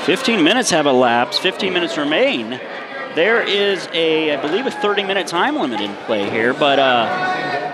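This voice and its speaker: Noticeable background noise accompanies a man whose high-pitched voice moves in very wide pitch swings. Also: moderate pace. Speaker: wrestling play-by-play commentator and host. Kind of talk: live wrestling match commentary.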